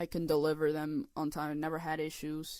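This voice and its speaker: A woman speaks at a moderate pace in a very deep, low pitch. The recording is very clean, with a silent background. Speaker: animator and artist vlogger. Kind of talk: casual vlog commentary. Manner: halting, repetitive.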